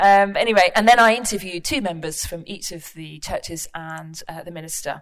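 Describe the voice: A woman talks at a moderate pace, her pitch fairly low and her intonation fairly even.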